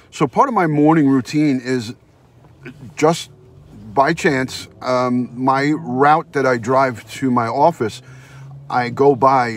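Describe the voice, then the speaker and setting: A man talks at a very slow pace with ordinary pitch variation, the sound dry with no echo. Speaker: live streamer. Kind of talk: casual live-stream chat. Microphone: phone near.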